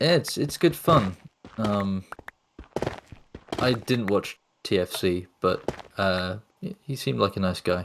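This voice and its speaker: A man with a British accent at a fairly slow pace, with long, frequent pauses. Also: lively intonation. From UK. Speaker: map creator. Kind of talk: casual chat. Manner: hesitant, many fillers.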